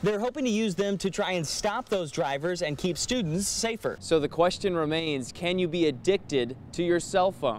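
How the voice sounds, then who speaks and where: Lively intonation and hardly any pauses, with noticeable background noise behind the speech. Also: man, high pitch for a man, moderate pace. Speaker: TV news reporter. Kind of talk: TV news report.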